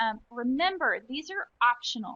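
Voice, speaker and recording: A woman speaks in a high, bright, sharp voice, raised and projected. The sound is dry and close, with no echo. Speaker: software trainer. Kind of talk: webinar tutorial. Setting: online webinar with screen share.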